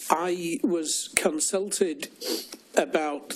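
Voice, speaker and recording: With noticeable background noise behind him, a man with a northern English accent speaks at a fairly high pitch. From northern England. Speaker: church safeguarding director, former priest. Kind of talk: formal inquiry testimony.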